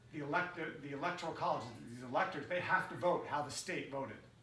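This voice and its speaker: A man with an American accent speaks at a fairly high pitch, with audible room echo and noticeable background noise. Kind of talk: casual chat. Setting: living room. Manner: mumbling.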